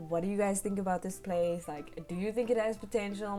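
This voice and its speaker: Very fast speech from a woman at medium pitch, fairly even intonation, music in the background. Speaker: gaming YouTuber. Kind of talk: casual voice-over commentary. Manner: halting, stuttering.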